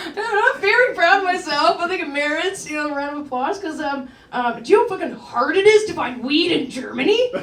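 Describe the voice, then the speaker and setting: A woman talks at an extremely high pitch with very wide pitch swings, at a fairly quick pace with hardly any pauses, amid noticeable background noise and audible room echo. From Canada, rural Ontario. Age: 30s. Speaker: stand-up comedian. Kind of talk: stand-up. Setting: stage with audience. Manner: casual, filler-heavy delivery.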